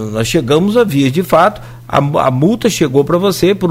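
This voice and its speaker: At a moderate pace, a man in a normal speaking voice talks with a fairly high pitch and lively intonation. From Brazil, Rio de Janeiro state (Italva). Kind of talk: radio interview.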